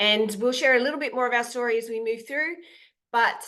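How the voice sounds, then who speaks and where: With an Australian accent, a woman speaks in a bright, sharp tone at a fairly high pitch. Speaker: content creator. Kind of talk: webinar presentation. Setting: online call.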